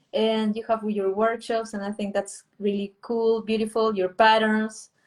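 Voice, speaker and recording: A woman's fairly high voice in a Spanish accent, fairly slow, with monotone, flat intonation. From Peru, Lima. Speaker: artist and illustrator. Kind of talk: interview conversation. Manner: halting.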